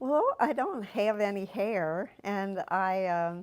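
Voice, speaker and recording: With an American accent, a woman speaks at a medium pitch on a very clean recording with a silent background. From US Midwest, Cincinnati, Ohio. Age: 60s. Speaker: shop customer sharing her story. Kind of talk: personal testimony interview. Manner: halting.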